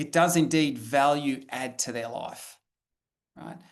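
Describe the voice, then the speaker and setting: A man with an Australian accent, against a quiet background. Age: 50s. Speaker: professor. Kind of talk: lecture. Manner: halting, with many repetitions.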